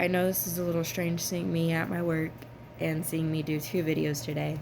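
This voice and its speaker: Audible room echo surrounds a woman with a fairly low pitch. She talks at a fairly quick pace, her intonation fairly even and her loudness very even. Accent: Southern US. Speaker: vlogger. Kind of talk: personal vlog. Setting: at her workplace.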